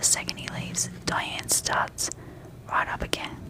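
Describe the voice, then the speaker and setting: The speaker whispers. The pace is fairly slow, with noticeable background noise. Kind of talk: sleep story. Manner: soft-spoken; calm, slow-paced.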